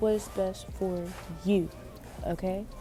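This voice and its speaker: Music plays in the background. A woman speaks in a calm tone. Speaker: podcast host. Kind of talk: casual podcast talk. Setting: library. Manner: calm, peaceful; slightly raised.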